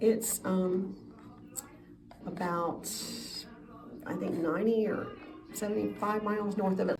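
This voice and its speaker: Speaking with an American accent, a woman moves at a fairly slow pace with long, frequent pauses, amid noticeable background noise and audible room echo. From Florida. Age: 70s. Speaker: painter. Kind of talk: interview. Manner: halting.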